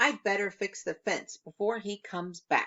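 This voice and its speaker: A woman performs a put-on character voice at medium pitch. She keeps a moderate pace. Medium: read story.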